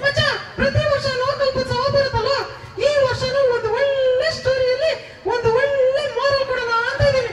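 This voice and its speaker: A man's put-on character voice, fairly slow, over noticeable background noise. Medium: stage play.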